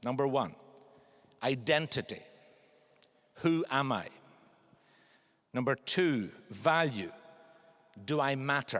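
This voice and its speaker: Very slow speech from a man with a fairly high pitch, long, frequent pauses and ordinary pitch variation. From Scotland, then Northern Ireland. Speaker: barrister. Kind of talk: public talk. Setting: cathedral stage with audience. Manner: formal.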